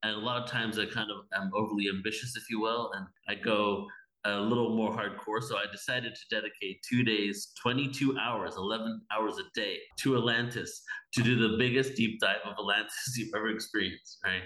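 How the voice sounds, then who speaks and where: Music plays behind a man with an American accent and a medium-pitched voice. He speaks at a moderate pace with fairly even intonation. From England, then California from age 12. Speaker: spiritual event organizer. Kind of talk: casual interview.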